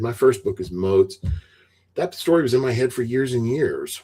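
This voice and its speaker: In a very clean recording with a silent background, a man with an American accent speaks at a medium pitch, his dark, mellow voice somewhat breathy and his intonation lively. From US South. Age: 60s. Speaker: retired IT veteran and author. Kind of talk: podcast interview.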